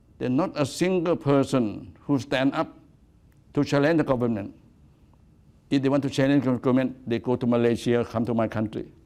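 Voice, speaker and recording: A man with a Thai accent speaks at a fairly quick pace in a dark, mellow tone. He takes long, frequent pauses. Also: medium pitch for a man, ordinary pitch variation. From Thailand. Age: 80s+. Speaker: activist. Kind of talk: lecture. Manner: halting.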